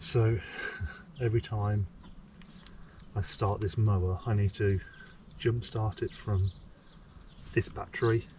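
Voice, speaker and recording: A somewhat breathy man, fairly low in pitch, with a dark, mellow tone, fairly even intonation and long, frequent pauses. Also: fairly slow pace. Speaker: homesteader vlogger. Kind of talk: casual vlog narration. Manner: hesitant, many ums; whispering.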